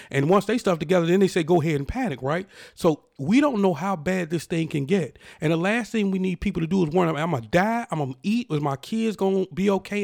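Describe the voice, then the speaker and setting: A man speaks at a very fast pace with a high pitch, an animated tone and lively intonation, on a very clean recording with a silent background. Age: 40s. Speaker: podcast host. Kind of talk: opinion monologue.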